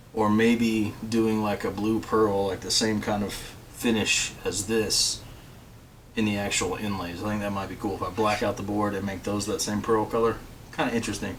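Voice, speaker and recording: In a room with audible echo and noticeable background noise, a man talks at a moderate pace in a fairly low pitch with monotone, flat intonation. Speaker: guitar builder and video host. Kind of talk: casual tutorial chat to camera.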